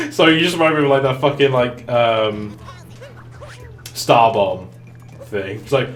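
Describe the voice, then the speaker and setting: With music in the background, a man speaks at a medium pitch and a fairly slow pace, leaving long, frequent pauses. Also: ordinary pitch variation. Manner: casual, joking, swears freely.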